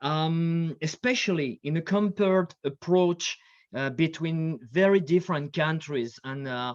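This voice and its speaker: In a French accent, a man with a fairly high pitch speaks at a fairly slow pace with ordinary pitch variation, in a dry, close sound with no echo and a quiet background. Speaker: military history scholar and lecturer. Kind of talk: conference panel talk. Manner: hesitant, many fillers.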